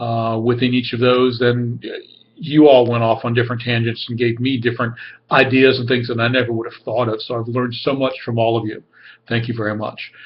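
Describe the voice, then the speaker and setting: A man's medium-pitched, somewhat breathy voice with monotone, flat intonation and a fairly quick pace. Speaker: graduate student. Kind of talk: class discussion video post. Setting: webcam recording. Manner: fast. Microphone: camera keeps cutting out.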